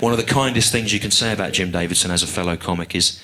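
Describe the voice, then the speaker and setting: Very fast and with fairly even intonation, a man speaks in a very deep, low voice with an English accent. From England. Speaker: stand-up comedian. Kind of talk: live stand-up routine. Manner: dry, analytical.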